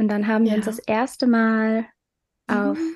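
Recorded in a dry, close sound with no echo, a woman's speech moves at a moderate pace. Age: 20s. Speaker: podcast co-host. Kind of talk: casual chat.

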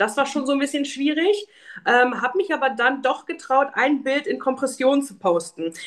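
With very wide pitch swings, a woman speaks in a high pitch. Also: moderate pace. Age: 30s. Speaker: podcast guest, patient with lipedema. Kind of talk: casual interview.

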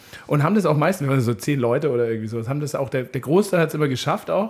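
A man talks in a fairly high voice that is somewhat breathy. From Upper Bavaria. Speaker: podcast host. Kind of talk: casual chat.

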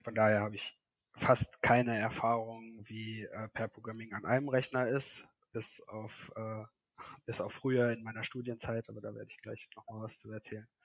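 The speech moves at a moderate pace with monotone, flat intonation. Loudness swings a lot. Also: man, medium pitch for a man. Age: 30s. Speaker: software developer. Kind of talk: casual chat. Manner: hesitant, many fillers.

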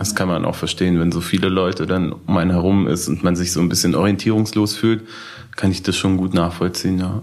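A man's very deep, low voice at a fairly quick pace with fairly even intonation. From Berlin (Schöneberg). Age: 20s. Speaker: blind date participant. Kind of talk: casual chat.

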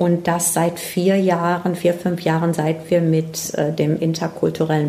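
A woman speaks at a fairly slow pace with a fairly low pitch. There is noticeable background noise and audible room echo. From Ruhr area, Germany (Herne). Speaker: environmental educator. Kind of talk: interview. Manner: hesitant, many fillers.

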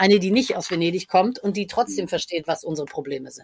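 Using a normal speaking voice, a woman talks at a fairly quick pace with lively intonation. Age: 50s. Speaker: costume designer. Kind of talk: interview. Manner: many filler sounds.

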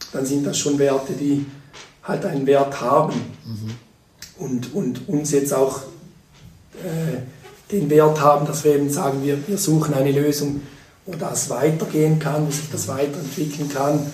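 Fairly slow, fairly high-pitched male speech with long, frequent pauses and fairly even intonation, plus noticeable background noise and audible room echo. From rural eastern Switzerland. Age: 40s. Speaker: company founder. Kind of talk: interview. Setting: in person at a table. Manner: halting, many repetitions.

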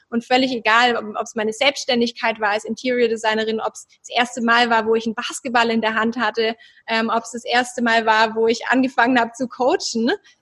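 A woman speaks fairly quickly at a fairly high pitch, with hardly any pauses and a monotone, flat intonation. Her loudness swings a lot, and the sound is dry and close with no echo. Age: 30s. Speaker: relationship coach. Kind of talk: interview.

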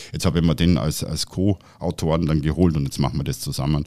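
At a very fast pace, a man talks with a very deep, low pitch, a dark, mellow tone, vocal fry and ordinary pitch variation. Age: 50s. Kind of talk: casual chat. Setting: studio.

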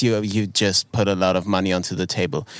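A man with a German accent speaks at a fairly quick pace and fairly low pitch. The recording is very clean, with a silent background. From Germany. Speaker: podcast co-host. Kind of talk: casual chat. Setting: outdoors.

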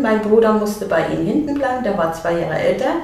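With audible room echo and noticeable background noise, a woman talks at a moderate pace in a fairly high voice. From East Germany. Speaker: blind children's author. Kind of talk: casual interview.

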